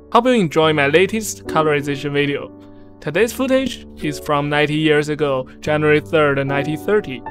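Over music in the background, a man talks at a fairly quick pace. His pitch is fairly high, and his intonation is lively. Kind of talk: casual channel narration.

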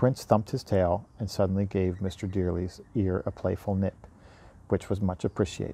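Dry and echo-free, the recording catches a man with a fairly low, somewhat breathy voice, dark and mellow in tone, speaking at a moderate pace. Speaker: audiobook reader. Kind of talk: bedtime story reading aloud. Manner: gentle, even storyteller pacing; warm, friendly, chatty with young listeners. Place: garden. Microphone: earbuds.

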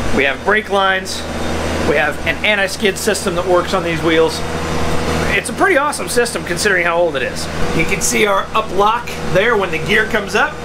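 A man's voice with ordinary pitch variation against loud background noise. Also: fairly quick pace. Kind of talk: casual vlog explanation. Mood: upbeat, enthusiastic. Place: street. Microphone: phone near.

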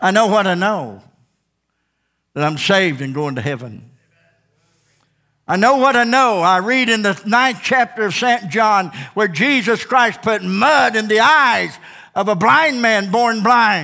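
Against a quiet background, a man uses a raised, projected voice with a high pitch, a bright, sharp tone and lively intonation, moving at a fairly slow pace with long, frequent pauses. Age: 70s. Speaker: pastor. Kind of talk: sermon. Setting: church. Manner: animated, repetitive preaching cadence. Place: church. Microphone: headset.

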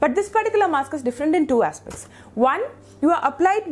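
A woman talks at a very fast pace, her pitch swinging very widely. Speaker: beauty vlogger. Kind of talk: product review tutorial. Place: home room. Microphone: lapel.

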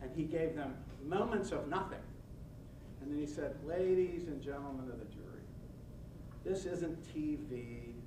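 A man with an American accent and a fairly high pitch speaks at a moderate pace with ordinary pitch variation. He leaves long, frequent pauses, and noticeable background noise is present. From western Pennsylvania. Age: 60s. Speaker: nonprofit organizer and former prosecutor. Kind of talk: lecture. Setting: podium before a live audience. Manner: folksy, self-deprecating storyteller. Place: meeting room.

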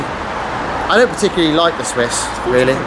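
Background noise is loud throughout. The speaker is a man. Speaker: car road-trip vlogger. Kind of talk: casual vlog chat. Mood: wry, grumbling. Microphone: phone near.

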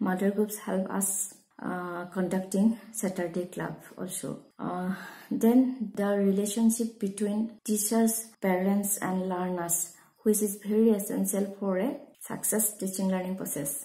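Somewhat breathy and dark, mellow in tone, a woman speaks at a fairly slow pace. Her intonation is fairly even, and room echo is audible. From Assam, India. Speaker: school teacher. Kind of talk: prepared testimonial talk. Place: home room. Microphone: phone near.

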